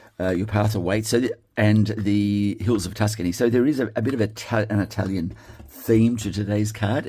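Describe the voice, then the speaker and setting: A man with an Australian accent speaks at a fairly low pitch in a dark, mellow tone. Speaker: card-making crafter. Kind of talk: tutorial. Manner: casual with many fillers; mumbles to himself at times.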